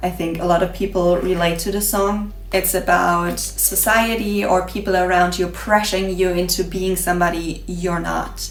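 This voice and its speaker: Woman with a non-native accent, fairly low pitch and monotone, flat intonation at a moderate pace with hardly any pauses, amid noticeable background noise and audible room echo. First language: not English. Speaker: beauty vlogger. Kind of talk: casual vlog monologue while doing makeup. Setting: home kitchen.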